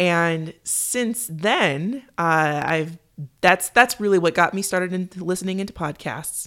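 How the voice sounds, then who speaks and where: A woman talks in an ordinary speaking voice, fairly low in pitch, with ordinary pitch variation. She goes at a fairly slow pace in a very clean recording with a silent background. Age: 30s. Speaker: podcast guest. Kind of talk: casual chat. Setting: studio.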